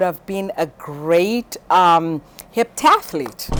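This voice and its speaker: A woman talks with ordinary pitch variation. There is noticeable background noise behind her. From Zimbabwe. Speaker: high school teacher. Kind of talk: interview.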